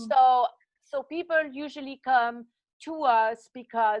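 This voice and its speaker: A woman speaks in a Swiss French accent with a high pitch. Her intonation is lively. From French-speaking Switzerland. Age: 60s. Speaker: body designer, fitness coach. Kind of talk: interview.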